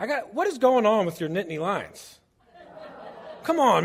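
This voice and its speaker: A loud, animated voice with an American accent moves at a moderate pace. Its pitch swings very widely. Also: man. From New Jersey, outside Philadelphia. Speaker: church charity director. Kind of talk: presentation to a congregation. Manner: casual, animated.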